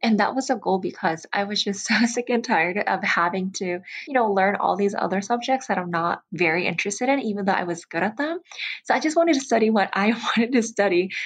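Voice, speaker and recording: A woman at medium pitch, very fast, with lively intonation. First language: not English. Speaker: podcast co-host. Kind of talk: casual chat.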